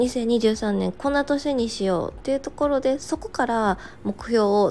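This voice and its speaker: A woman's fairly high voice, dark and mellow in tone, with lively intonation. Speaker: podcast host, working mother. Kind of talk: casual morning radio monologue.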